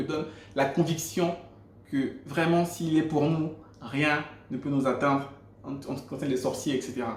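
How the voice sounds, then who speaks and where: A man with a Gabonese accent, a fairly high pitch and monotone, flat intonation at a moderate pace, with audible room echo and noticeable background noise. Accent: African (Gabonese) French. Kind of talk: testimony. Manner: hesitant, repeats words.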